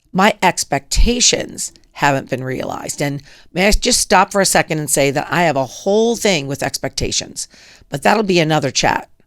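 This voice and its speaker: An ordinary speaking voice at a moderate pace, with lively intonation. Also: woman, fairly low pitch for a woman. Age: 60s. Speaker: podcast host. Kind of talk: personal monologue.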